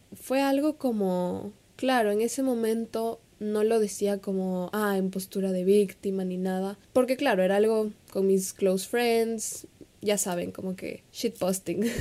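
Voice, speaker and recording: Fairly even intonation from a woman, medium in pitch and fairly slow in pace. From Ecuador. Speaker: podcast host and social media coach. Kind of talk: solo podcast monologue.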